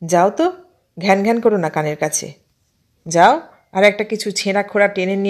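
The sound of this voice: Against a quiet background, the clip offers an unforced reading voice with ordinary pitch variation.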